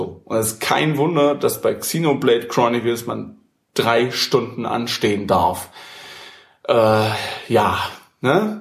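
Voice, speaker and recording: A man's somewhat breathy voice at medium pitch, very slow with long, frequent pauses and ordinary pitch variation. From Saxony, Germany. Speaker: gaming podcast host. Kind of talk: casual chat. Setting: home studio. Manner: animated, laughing.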